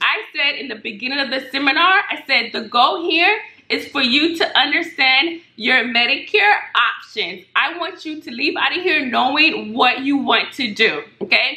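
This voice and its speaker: A loud woman's voice, high in pitch, with noticeable background noise. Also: lively intonation, moderate pace. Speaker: Medicare insurance broker. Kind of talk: casual tutorial vlog.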